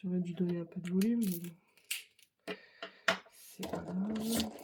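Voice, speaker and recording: Soft-spoken, a woman talks at a fairly slow pace. Her pitch is medium and her intonation fairly even. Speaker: craft youtuber. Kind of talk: tutorial. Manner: casual.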